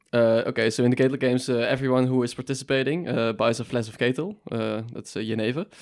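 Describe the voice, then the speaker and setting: In a Dutch accent, the speaker races along at a very fast pace with hardly any pauses and fairly even intonation. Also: man, medium pitch for a man. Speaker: student podcast co-host. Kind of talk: casual interview.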